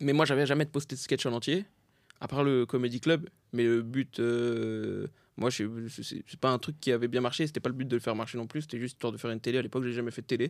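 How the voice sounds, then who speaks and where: A man speaks at a very fast pace and a medium pitch, with fairly even intonation. The recording is very clean, with a silent background. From France, Saint-Denis (Paris suburbs). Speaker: comedian. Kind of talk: casual chat.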